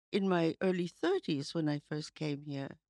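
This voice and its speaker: A woman talks with an American accent. The sound is dry, with no echo. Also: quiet background. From United States. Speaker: writer and editor; podcast guest. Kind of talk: interview conversation. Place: studio. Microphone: studio mic.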